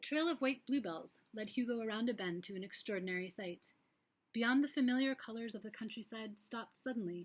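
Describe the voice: Over a quiet background comes plain reading aloud.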